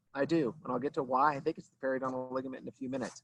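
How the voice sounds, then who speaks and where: A man's voice, dry and close with no echo. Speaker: veterinary dentist. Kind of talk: lecture. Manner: fast; casual, filler-heavy.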